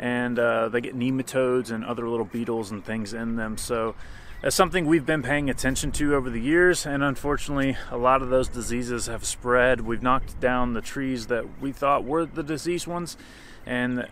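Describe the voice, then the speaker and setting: A man's voice, dry with no echo, over light background noise. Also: ordinary pitch variation, fairly quick pace. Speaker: property owner vlogger. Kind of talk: casual vlog chat. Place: open country.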